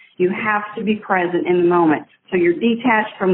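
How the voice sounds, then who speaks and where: Through noticeable background noise, a woman with a medium pitch talks at a moderate pace with lively intonation. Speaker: yoga instructor. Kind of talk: interview.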